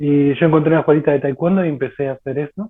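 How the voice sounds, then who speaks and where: A man talks in a Rioplatense accent. His voice is fairly high, with ordinary pitch variation. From Argentina. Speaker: martial arts practitioner. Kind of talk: casual chat.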